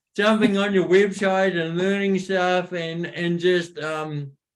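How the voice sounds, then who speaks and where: A man with a New Zealand accent speaks at a high pitch. His pace is fairly slow. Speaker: motivational speaker. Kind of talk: interview.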